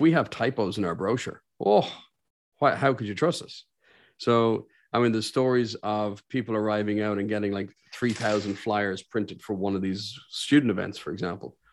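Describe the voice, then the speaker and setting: This man speaks with an Irish accent at a moderate pace. His pitch is fairly low and varies in an ordinary way. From Ireland. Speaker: business owner and career coach. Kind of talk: interview. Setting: remote call.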